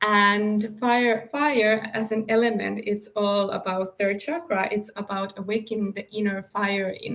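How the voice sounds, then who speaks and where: Speaking with a non-native accent, a woman talks at a fairly slow pace in a fairly high pitch. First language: not English. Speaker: spiritual coach and author. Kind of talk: live stream talk. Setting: live stream. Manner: halting.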